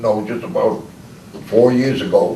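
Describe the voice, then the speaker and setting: Male voice at medium pitch and moderate pace, ordinary pitch variation, audible room echo and noticeable background noise. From Long Island, New York. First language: Czech. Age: 80s+. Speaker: retired commercial fisherman. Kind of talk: oral history interview. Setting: library group session. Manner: halting.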